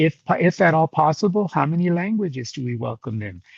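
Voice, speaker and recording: A somewhat breathy man, with a dry, close sound and no echo. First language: Spanish. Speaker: education leader presenting a webinar. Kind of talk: webinar presentation.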